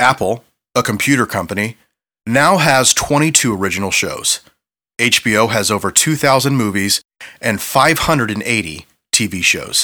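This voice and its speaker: On a very clean recording with a silent background, a man's bright, sharp tone at a medium pitch moves with lively intonation at a moderate pace. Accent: American. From Ohio, US Midwest. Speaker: podcast co-host, graphic designer. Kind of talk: scripted narration; casual chat.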